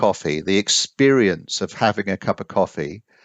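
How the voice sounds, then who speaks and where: Using lively intonation, a man talks at a moderate pace. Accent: English. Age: 60s. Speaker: coffee consultant. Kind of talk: interview. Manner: halting.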